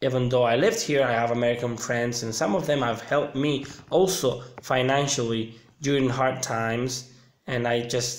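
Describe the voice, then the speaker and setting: Speaking with a Sicilian accent, a man talks at a moderate pace and medium pitch, his intonation fairly even amid audible room echo. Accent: Italian (Sicilian) accent in English. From Sicily, Palermo. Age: 30s. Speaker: vlogger. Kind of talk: casual livestream chat.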